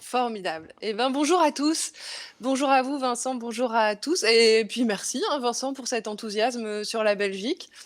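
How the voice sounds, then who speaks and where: A woman with a high voice talks at a fairly slow pace, her pitch varying in an ordinary way. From Belgium. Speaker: comedian. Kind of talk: stand-up. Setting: remote video link.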